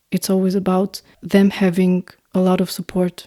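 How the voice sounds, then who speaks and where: A woman with an Albanian accent speaks at a moderate pace and medium pitch in a dark, mellow tone. The recording is very clean, with a silent background and a dry, close sound with no echo. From North Macedonia, Albanian community. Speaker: singer-songwriter and producer. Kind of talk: podcast interview. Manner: halting.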